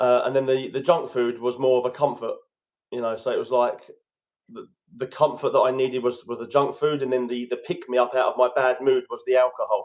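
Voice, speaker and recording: A man with a British accent talks at a fairly quick pace. His pitch sits in the medium range. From London, England. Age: 30s. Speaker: guest coach on addiction recovery. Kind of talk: podcast interview, personal story.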